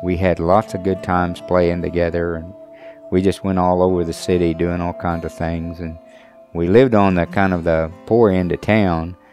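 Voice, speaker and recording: A man with a very deep, low voice speaks in an American accent with fairly even intonation over music in the background. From Shawnee, Oklahoma. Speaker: Sac and Fox elder. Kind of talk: personal testimony interview.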